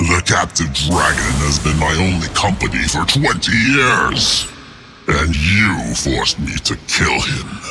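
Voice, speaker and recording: A man growls in a put-on character voice at a very deep, low pitch. He goes at a fairly slow pace over clear background noise. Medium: machinima. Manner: menacing, sardonic.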